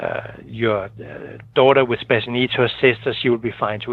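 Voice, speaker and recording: Flat, monotone male speech at a medium pitch and moderate pace, with noticeable background noise. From Denmark. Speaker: financial planner. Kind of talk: radio interview. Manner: hesitant, many fillers.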